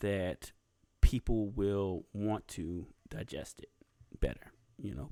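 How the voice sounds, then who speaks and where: Speaking with a Southern US accent and ordinary pitch variation, the voice comes through on a very clean recording with a silent background. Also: man. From US South. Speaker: YouTube podcast host. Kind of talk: casual solo podcast talk. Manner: halting, many fillers and pauses.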